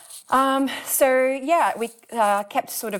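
A woman with an Australian accent is heard on a very clean recording against a silent background. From rural New South Wales, Australia. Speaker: builder and former classical pianist. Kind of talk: interview. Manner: hesitant, many fillers.

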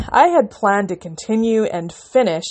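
A woman's plain, everyday voice with a Canadian accent, at a moderate pace with lively intonation. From Canada. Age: 30s. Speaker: podcast host and independent author. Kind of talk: casual solo podcast monologue.

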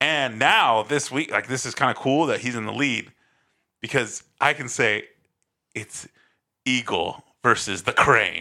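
A man speaking at a medium pitch with ordinary pitch variation and a bright, sharp tone with vocal fry, fairly slowly and with long, frequent pauses, in a very clean recording over a silent background. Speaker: disc golf podcast co-host. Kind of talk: casual chat. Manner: loud.

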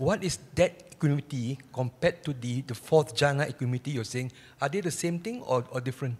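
Very fast, somewhat breathy speech from a man at a fairly high pitch, with ordinary pitch variation. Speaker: audience member asking questions. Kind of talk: question from audience.

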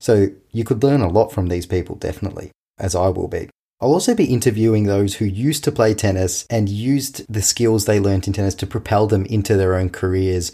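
On a very clean recording with a silent background, a man talks at a fairly quick pace in a fairly low, somewhat breathy voice with a dark, mellow tone and ordinary pitch variation. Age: 20s. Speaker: tennis coach and podcast host. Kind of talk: casual podcast monologue.

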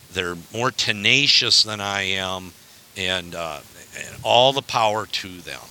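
A man with an American accent speaks very slowly in a very deep, low voice with ordinary pitch variation. Background noise is noticeable. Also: big swings in loudness. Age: 60s. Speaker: hunter. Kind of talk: casual chat.

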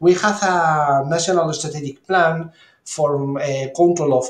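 A man talks in a high pitch with a Spanish accent. His intonation stays fairly even. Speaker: clinical microbiologist and health ministry official. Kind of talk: interview. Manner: halting.

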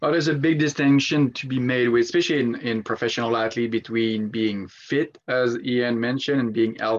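With an ordinary speaking voice, a man talks at a fairly quick pace and medium pitch, with hardly any pauses and fairly even intonation. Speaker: sleep researcher. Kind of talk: casual interview chat.

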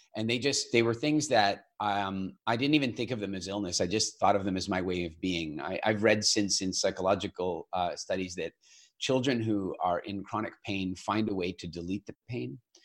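A man with a Canadian accent has an unremarkable speaking voice, a fairly low pitch and ordinary pitch variation. He talks at a moderate pace with hardly any pauses on a very clean recording with a silent background. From Eastern Canada. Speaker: nutrition program founder. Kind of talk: interview.

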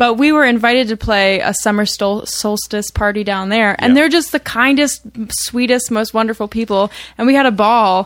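At a moderate pace, a woman with an unremarkable speaking voice talks at a fairly high pitch with ordinary pitch variation, in a very clean recording with a silent background. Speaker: musician in a band. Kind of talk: casual interview.

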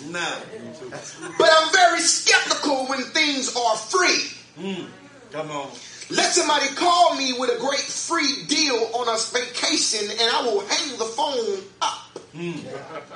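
With an animated tone and a raised, projected voice, a man speaks at an extremely high pitch and a fairly slow pace, swinging his pitch very widely over noticeable background noise. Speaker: pastor. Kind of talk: sermon. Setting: church. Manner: animated, fervent preaching with call-and-response.

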